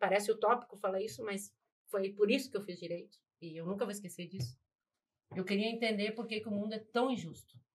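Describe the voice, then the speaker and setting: A woman speaks at a very fast pace with a somewhat breathy, medium-pitched voice. Her loudness swings widely while her pitch varies in an ordinary way. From Rio Grande do Sul, Brazil. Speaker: lawyer. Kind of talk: casual chat.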